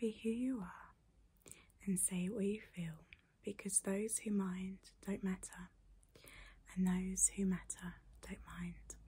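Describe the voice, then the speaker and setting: The voice is somewhat breathy with a dark, mellow tone, flat monotone intonation, a very slow pace and long, frequent pauses. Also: woman. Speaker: video creator. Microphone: phone near.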